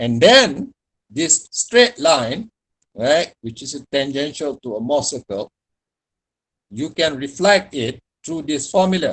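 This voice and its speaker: With a Malaysian accent, a man speaks very slowly, leaving long, frequent pauses. His intonation is lively, his loudness swings widely, and the sound is dry and close with no echo. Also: fairly high pitch for a man. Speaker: university lecturer. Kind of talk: lecture.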